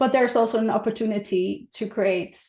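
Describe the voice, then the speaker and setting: Her tone dark and mellow, a woman speaks with a non-native accent. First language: not English. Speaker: healthcare standards manager. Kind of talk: conference presentation. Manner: halting, many fillers.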